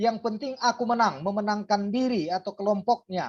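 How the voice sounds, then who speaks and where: A woman talks at a moderate pace with medium pitch. The background is quiet. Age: 60s. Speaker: pastor and lecturer. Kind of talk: lecture. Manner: frequent filler hesitations.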